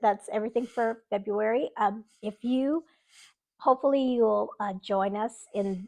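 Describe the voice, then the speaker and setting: A fairly high-pitched woman at a fairly slow pace, ordinary in pitch variation, with a dry, close sound and no echo. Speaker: booktuber. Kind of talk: casual chat. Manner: halting.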